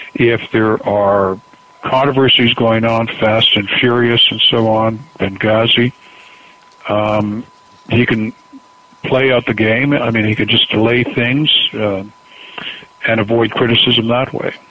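Over noticeable background noise, a man with a Canadian accent talks at a fairly slow pace in a medium pitch, with very even loudness. His intonation is monotone and flat, broken by long, frequent pauses. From Canada. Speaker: political author. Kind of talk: interview.

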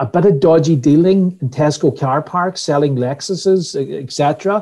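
In a Donegal accent, a man speaks at a fairly slow pace with a dark, mellow tone, a fairly high pitch, and ordinary pitch variation. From Ireland, West Donegal. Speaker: customer experience trainer. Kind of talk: interview. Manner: repetitive false starts.

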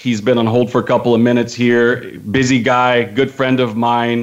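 A man at a moderate pace and medium pitch, an unremarkable speaking voice. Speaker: radio host. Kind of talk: sports talk radio interview.

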